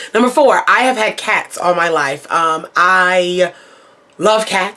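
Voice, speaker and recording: A woman's medium-pitched voice with an American accent, a bright, sharp tone and ordinary pitch variation. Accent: Baltimore accent, sometimes noticeable. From Baltimore, Maryland. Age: 20s. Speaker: beauty YouTuber. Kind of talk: casual chat to camera. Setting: home, filming herself.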